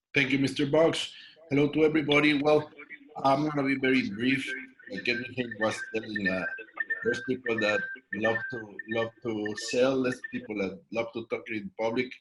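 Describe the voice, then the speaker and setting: This man talks with a Mexican accent at medium pitch. He keeps a moderate pace with ordinary pitch variation. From Mexico. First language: Spanish. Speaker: network marketing distributor. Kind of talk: panel discussion at business event.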